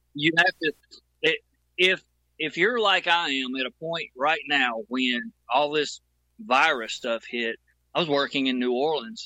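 With an American accent, a man speaks at a fairly slow pace in a fairly high, bright, sharp voice, his intonation lively and his pauses long and frequent. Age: 50s. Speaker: audio engineer and producer. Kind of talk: casual chat.

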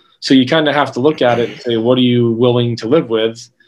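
A man with a plain, everyday voice, ordinary pitch variation and a fairly quick pace. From northwestern Pennsylvania (Erie). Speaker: winery owner and grape grower. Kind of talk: casual interview.

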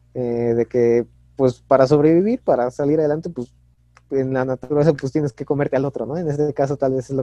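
Speaking at a fairly quick pace, a man uses a fairly high pitch and a dark, mellow tone with fairly even intonation, recorded dry and close with no echo. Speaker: podcast co-host. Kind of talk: casual chat.

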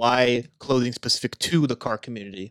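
A man at medium pitch talks at a very fast pace in an animated tone. The sound is dry and close, with no echo. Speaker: podcast co-host. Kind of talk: casual banter. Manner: animated, joking.

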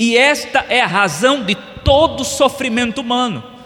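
Over noticeable background noise, a man raises and projects his extremely high voice in a solemn tone, with ordinary pitch variation. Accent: Brazilian. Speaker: pastor. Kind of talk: sermon. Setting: church. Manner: earnest, solemn preacher's delivery, hammering key phrases with repetition; formal, expository and didactic.

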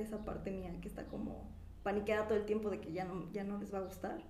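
A woman's medium-pitched voice with fairly even intonation, audible room echo and noticeable background noise. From Mexico, Pachuca (Hidalgo). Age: 20s. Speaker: illustrator. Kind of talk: casual interview chat.

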